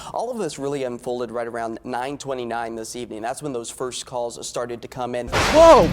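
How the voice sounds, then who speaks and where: A man with an American accent talks at a fairly quick pace with hardly any pauses. His medium-pitched voice has fairly even intonation over noticeable background noise. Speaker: television meteorologist. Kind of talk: TV weather broadcast.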